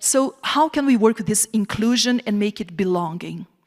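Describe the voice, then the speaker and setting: A woman's medium-pitched speech with a Portuguese accent, at a moderate pace with ordinary pitch variation, in a very clean recording with a silent background and a dry, close sound with no echo. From southern Brazil. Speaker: professor. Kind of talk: keynote lecture. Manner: animated.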